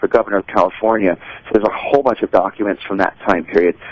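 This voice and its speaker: A man talks in an ordinary speaking voice at a medium pitch with ordinary pitch variation. The sound is dry and close, with no echo. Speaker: auctioneer, auction house sales executive. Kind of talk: radio interview answer.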